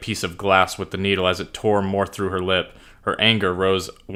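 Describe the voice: What we hear is plain reading aloud.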